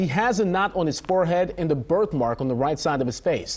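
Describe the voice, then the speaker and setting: Speaking at a fairly quick pace, a man with a normal speaking voice and fairly high pitch shows ordinary pitch variation. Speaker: TV news anchor. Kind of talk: TV news anchor read. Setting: studio.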